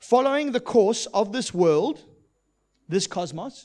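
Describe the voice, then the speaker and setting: A man is speaking. His pitch swings very widely. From South Africa. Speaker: preacher. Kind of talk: sermon. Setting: church.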